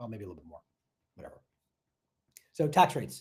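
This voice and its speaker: A man talks with an American accent. His tone is dark and mellow, and somewhat breathy. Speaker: tech sales coach and real estate investor. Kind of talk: live stream workshop. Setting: live stream. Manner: fast; animated.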